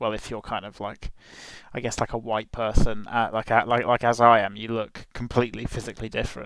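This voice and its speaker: A man with a British accent at a medium pitch and moderate pace, on a very clean recording with a silent background. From UK. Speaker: podcast host, exchange student. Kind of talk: casual chat. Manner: halting, many fillers. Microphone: headset mic, poor audio.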